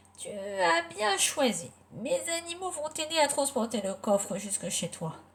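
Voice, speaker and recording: A woman's put-on character voice at a medium pitch and moderate pace, with very wide pitch swings. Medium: read story.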